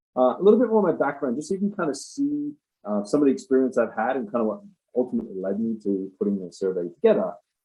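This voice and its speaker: At a very fast pace, a man speaks in a medium pitch with very wide pitch swings. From Australia. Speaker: civil engineer. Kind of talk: conference presentation. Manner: hesitant with many fillers.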